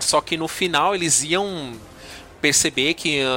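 A man speaks with music in the background. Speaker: podcast host. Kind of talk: casual chat.

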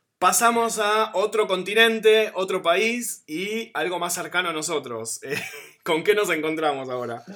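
With an Argentine accent, a man projects a raised, high-pitched voice at a fairly slow pace, his intonation lively. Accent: Argentine Spanish (Rioplatense). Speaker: podcast host. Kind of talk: casual chat. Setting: video call.

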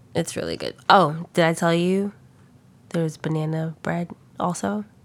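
A woman speaks at a fairly slow pace with a fairly low pitch. Her pitch varies in an ordinary way. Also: very clean recording, silent background. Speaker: podcast co-host. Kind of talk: casual chat. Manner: laid back.

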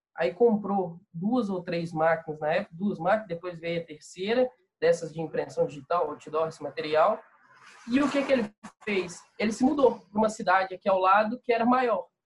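A man with a high voice speaks at a moderate pace with lively intonation. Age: 20s. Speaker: ad agency owner and entrepreneur. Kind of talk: casual interview chat.

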